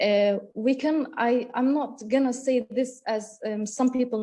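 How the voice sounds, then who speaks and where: A woman with a Kurdish accent speaks in a dark, mellow, somewhat breathy voice, her intonation fairly even. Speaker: university lecturer. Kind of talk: conference talk. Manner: halting, many fillers.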